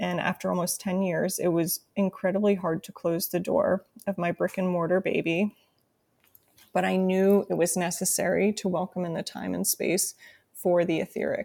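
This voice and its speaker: The voice has a dark, mellow tone with vocal fry and monotone, flat intonation, captured with a dry, close sound and no echo. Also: woman, medium pitch for a woman, moderate pace. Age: 30s. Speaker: intuitive guide and podcast host. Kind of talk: solo podcast monologue.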